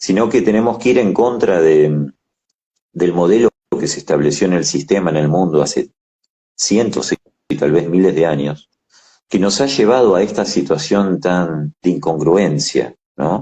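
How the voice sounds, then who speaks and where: With a very deep, low pitch and lively intonation, a man talks at a fairly slow pace broken by long, frequent pauses. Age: 60s. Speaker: ophthalmologist. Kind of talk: interview.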